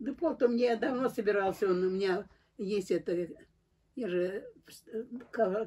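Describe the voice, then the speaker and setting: This woman has a dark, mellow tone at a fairly high pitch, with lively intonation. She talks at a fairly slow pace against a quiet background. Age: 80s+. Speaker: elderly pensioner. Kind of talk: casual chat. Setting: at home. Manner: halting. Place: home room. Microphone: phone near.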